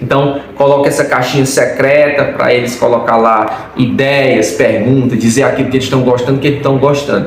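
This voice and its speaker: A man speaks with fairly even intonation. Noticeable background noise and audible room echo are present. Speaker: church youth leader. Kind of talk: instructional talk. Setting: recorded video. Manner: fast.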